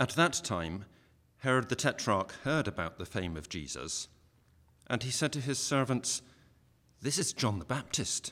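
Pausing long and often, a man talks at a moderate pace in a medium-pitched, bright, sharp voice with vocal fry and very wide pitch swings. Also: very clean recording, silent background. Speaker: scripture reader. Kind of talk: reading aloud.

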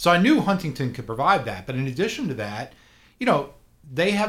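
A man talks at a very fast pace in a somewhat breathy voice with an American accent. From South Florida. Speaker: learning center owner. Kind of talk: radio interview.

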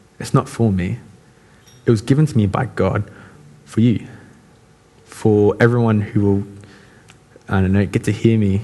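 In a normal speaking voice, a man with fairly low pitch talks at a moderate pace. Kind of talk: sermon. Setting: church. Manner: casual, conversational.

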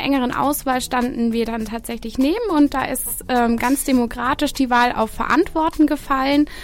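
With a high pitch, a woman talks at a moderate pace and ordinary pitch variation. Noticeable background noise runs underneath. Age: 20s. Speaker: student event organiser. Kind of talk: radio interview. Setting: radio studio.

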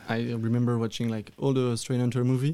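Speaking at a fairly quick pace with a French accent, a man uses a medium pitch and fairly even intonation, his tone dark and mellow, on a very clean recording with a silent background. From Wallonia, Belgium. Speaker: cannabis grower and breeder. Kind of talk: interview. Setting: studio.

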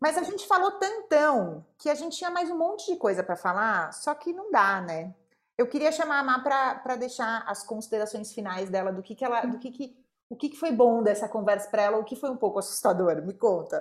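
Her fairly high voice moves quickly, with very wide pitch swings and big swings in loudness as this woman speaks at a fairly quick pace. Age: 30s. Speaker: podcast host, mother. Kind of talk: casual chat. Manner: animated.

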